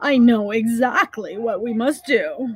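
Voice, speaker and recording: A put-on character voice, female-sounding and fairly high-pitched, at a fairly slow pace. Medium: read story. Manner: falsely confident.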